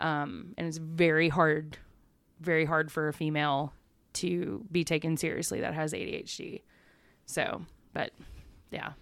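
With a Southern US accent, a woman speaks at a fairly low pitch with fairly even intonation on a very clean recording with a silent background. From East Texas. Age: 30s. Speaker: photographer and community organizer. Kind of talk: casual chat.

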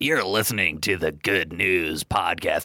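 A man uses a put-on character voice with a very deep, low pitch. He speaks at a moderate pace with lively intonation. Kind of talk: polished broadcast announcer.

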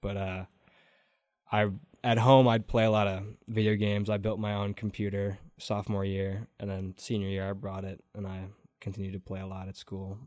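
A man with an American accent talks at a moderate pace in a fairly low pitch and a flat, monotone way. His loudness swings widely. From Wisconsin, Door County. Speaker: college radio host. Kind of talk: casual interview chat.

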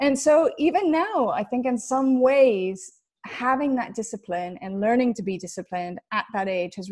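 On a very clean recording with a silent background, a woman with an American accent speaks at a moderate pace, somewhat breathy, with lively intonation. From US West Coast, Los Angeles. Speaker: football TV presenter. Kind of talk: interview.

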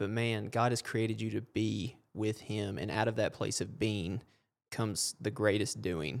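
Fairly low male voice with vocal fry, fairly slow and with ordinary pitch variation, on a very clean recording with a silent background. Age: 20s. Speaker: faith-based sports ministry podcast host. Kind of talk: casual faith interview chat.

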